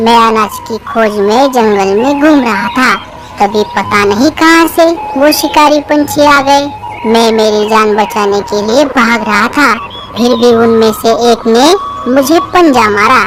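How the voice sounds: In a cartoonish character voice with fairly high pitch, a woman speaks at a moderate pace over clear background noise.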